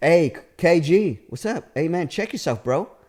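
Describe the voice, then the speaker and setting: A man with an American accent speaks at a fairly high pitch and moderate pace, with very wide pitch swings and vocal fry. The recording is very clean, with a silent background. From California. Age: 40s. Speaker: comedian. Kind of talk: storytelling in casual podcast chat. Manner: halting with many fillers.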